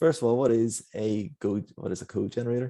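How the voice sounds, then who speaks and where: A man with a Northern Irish accent and a dark, mellow tone. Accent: Northern Irish (Belfast). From Northern Ireland, Belfast. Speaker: software engineer. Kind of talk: conference talk. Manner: fast.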